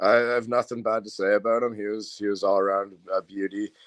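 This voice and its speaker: A Canadian accent against a quiet background, with a dry, close sound with no echo. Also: man. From Angus, Ontario, Canada. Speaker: slap fighter. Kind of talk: casual interview. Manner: halting, repetitive.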